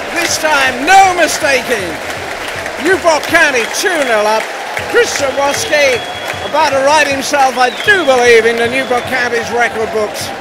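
Over crowd noise in the background, a man with an extremely high pitch uses a raised, projected voice at a fairly slow pace with ordinary pitch variation, the sound dry with no echo. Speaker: football match commentator. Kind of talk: live football play-by-play commentary. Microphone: headset.

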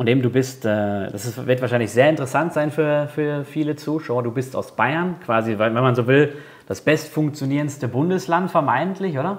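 This man has a fairly high pitch with ordinary variation. His pace is moderate. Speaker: YouTube interviewer. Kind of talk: interview questions. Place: studio. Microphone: lapel.

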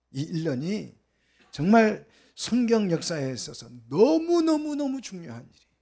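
Against a quiet background, a man talks at a very slow pace with a dark, mellow tone. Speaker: pastor. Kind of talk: sermon. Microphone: handheld.

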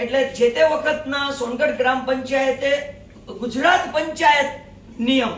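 A man's extremely high voice with ordinary pitch variation, audible room echo and noticeable background noise. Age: 70s. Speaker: community representative. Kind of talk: press conference statement. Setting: press conference.

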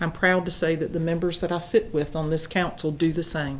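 A woman with a Southern US accent speaks at a fairly low pitch amid audible room echo. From US South, South Carolina. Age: 60s. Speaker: town council presiding official. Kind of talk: council meeting closing remarks. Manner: hesitant fillers.

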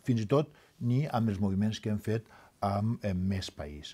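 A somewhat breathy male voice with a Valencian accent and ordinary pitch variation. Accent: Valencian Catalan. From Valencia region, Safor. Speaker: politician. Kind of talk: heated debate. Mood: serious, self-critical. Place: studio. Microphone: headset.

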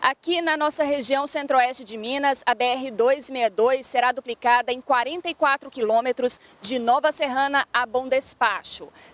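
In a dry, close recording with no echo, a woman talks at a high pitch with fairly even intonation and a fairly slow pace. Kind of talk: news reading. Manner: formal, steady and measured, with clear, even delivery; neutral, informative tone with few emotional shifts.

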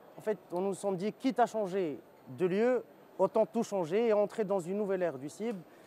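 A man talks at a fairly quick clip in a high voice with a dark, mellow tone, ordinary pitch variation, and a dry sound with no echo over light background noise. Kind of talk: interview answer. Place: hall. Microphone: lapel.

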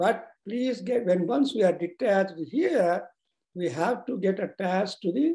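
Against a quiet background, a man speaks at a fairly slow pace in a dark, mellow tone. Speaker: religious teacher. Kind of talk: sermon. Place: home room. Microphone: video call.

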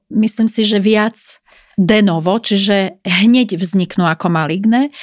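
A woman speaks fairly slowly at a medium pitch, in an ordinary speaking voice. The recording is very clean, with a silent background. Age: 40s. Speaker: dermatologist. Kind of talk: interview. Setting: studio.

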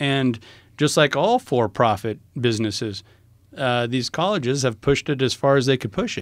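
A man with an American accent speaks in a plain, everyday voice at medium pitch and a moderate pace, with ordinary pitch variation, on a very clean, dry, close recording with a silent background and no echo. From rural US small town. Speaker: podcast co-host. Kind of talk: casual chat.

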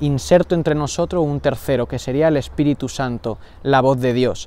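The sound is dry with no echo as a man talks at a moderate pace. His pitch is fairly high. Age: 20s. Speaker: religious brother in formation; book reviewer. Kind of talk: book review monologue. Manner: formal. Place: garden.

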